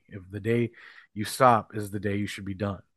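Against a quiet background, a man with an Upper Midwest accent speaks at a fairly low pitch. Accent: Upper Midwest American. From northwestern Minnesota. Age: 30s. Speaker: professional wrestler and wrestling promoter. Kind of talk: casual interview chat. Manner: halting, many fillers.

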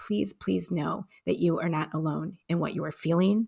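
A woman with an American accent speaks at a fairly low pitch with vocal fry, on a very clean recording with a silent background. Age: 40s. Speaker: podcast host, adoptee. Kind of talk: casual interview chat; scripted monologue intro.

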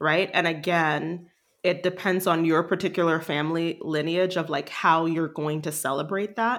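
This is a normal speaking voice with fairly even intonation, delivered at a moderate pace. The recording is very clean, with a silent background. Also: woman, fairly low pitch for a woman. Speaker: leadership coach and artist. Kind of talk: casual chat.

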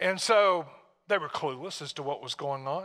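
With an American accent, a man speaks at a moderate pace in a high voice with lively intonation. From Tennessee, US South. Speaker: pastor. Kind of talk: sermon. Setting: church. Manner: informal, halting, repeats words.

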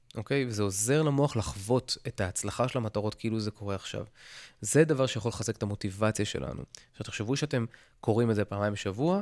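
A man speaks very fast at a medium pitch with lively intonation. The recording is very clean, with a silent background. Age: 40s. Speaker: podcast host. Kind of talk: solo podcast monologue. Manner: casual, halting with fillers.

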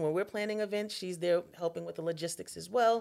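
Using ordinary pitch variation, a woman speaks at a medium pitch with an American accent. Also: very clean recording, silent background. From Long Island, New York. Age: 40s. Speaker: community organizer and civil servant. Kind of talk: podcast interview. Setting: studio, in person.

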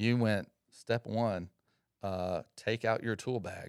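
Very slowly, a man speaks in a fairly low voice, the sound dry and close with no echo. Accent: American. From Georgia (Atlanta area), US South. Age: 40s. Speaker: Air Force veteran. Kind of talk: casual chat.

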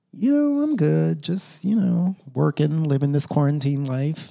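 With an American accent, a man uses an unremarkable speaking voice at a fairly slow pace and a fairly high pitch. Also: hardly any pauses. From Texas. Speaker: podcast host. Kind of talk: casual chat.

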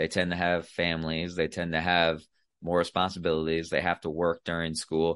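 The pace is moderate. The speaker has an American accent. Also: man. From US Midwest, Iowa. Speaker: military author and combat veteran. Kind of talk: interview conversation.

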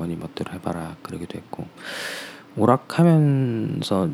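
A man speaks at a moderate pace in a dark, mellow tone. His intonation is lively. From Seoul. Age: 30s. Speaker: interview guest. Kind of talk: casual interview.

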